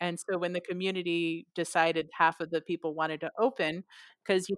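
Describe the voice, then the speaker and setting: An unremarkable speaking voice belongs to a woman with an American accent who speaks at a moderate pace and a fairly low pitch, the sound dry and close with no echo. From San Francisco Bay Area, US West Coast. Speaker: whale researcher and conservationist. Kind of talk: interview.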